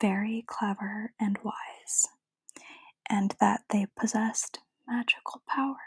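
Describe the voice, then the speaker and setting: Soft-spoken and very slow, the speech comes with long, frequent pauses. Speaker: ASMR creator. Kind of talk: ASMR book reading.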